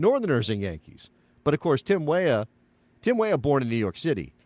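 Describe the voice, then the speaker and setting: A man with an American accent speaks at a fairly quick pace in a fairly high voice with vocal fry. His pitch swings very widely, and the sound is dry and close with no echo. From United States. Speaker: soccer podcast host. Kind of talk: casual chat. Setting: live show.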